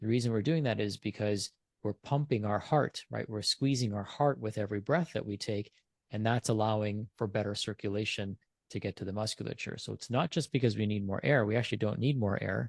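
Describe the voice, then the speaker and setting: Against a quiet background, a man with a fairly low voice speaks at a fairly quick pace. His pitch varies in an ordinary way, and the sound is dry and close with no echo. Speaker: functional medicine expert. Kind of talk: interview. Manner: fast.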